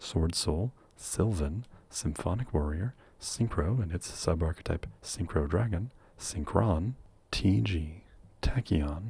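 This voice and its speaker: A soft-spoken man, very deep and low-pitched, with a dark, mellow tone, somewhat breathy delivery, lively intonation and a very slow pace. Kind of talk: ASMR question and answer talk.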